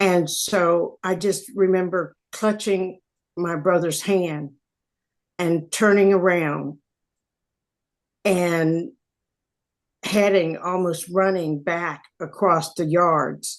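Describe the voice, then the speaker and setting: With long, frequent pauses, a woman talks at a very slow pace in a fairly low pitch and fairly even intonation. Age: 60s. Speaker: author. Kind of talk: personal testimony.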